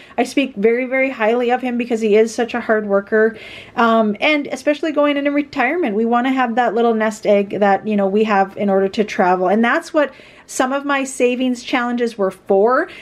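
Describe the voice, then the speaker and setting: A woman talks at a fairly quick pace with a fairly high pitch and ordinary pitch variation. Her loudness stays very even. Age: 40s. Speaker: budgeting YouTuber; budget vlogger. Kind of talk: casual vlog tutorial. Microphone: phone near.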